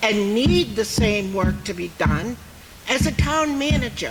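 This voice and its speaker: With an American accent and lively intonation, a woman speaks at a very slow pace, with audible room echo and noticeable background noise. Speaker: town resident speaking at meeting. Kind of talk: public meeting comment. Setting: town meeting hall with audience. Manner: loud.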